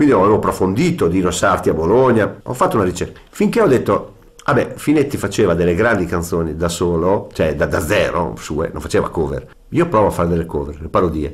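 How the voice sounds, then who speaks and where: Here a man speaks at a very fast pace and a fairly low pitch. His intonation is lively. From Ferrara, Emilia-Romagna, Italy; Emilia-Romagna, Italy. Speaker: musician and showman. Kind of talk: interview. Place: studio.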